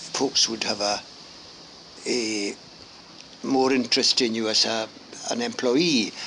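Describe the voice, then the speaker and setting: Over noticeable background noise, a man speaks at a fairly slow pace and medium pitch, with long, frequent pauses. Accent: Highland Scottish. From Scottish Highlands, Gairloch, west coast. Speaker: grandfather sharing memories. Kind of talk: oral history interview. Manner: halting, many fillers.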